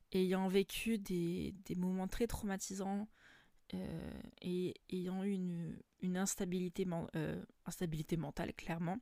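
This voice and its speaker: A woman speaks at a very slow pace in a medium pitch, leaving long, frequent pauses. Her intonation is monotone and flat, her tone dark and mellow. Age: 20s. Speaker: podcaster. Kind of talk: personal monologue. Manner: halting.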